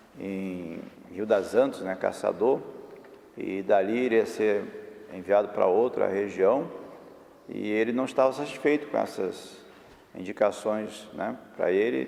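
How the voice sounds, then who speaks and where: A man talks in a fairly low pitch that varies in an ordinary way. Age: 60s. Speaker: bishop. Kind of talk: documentary interview.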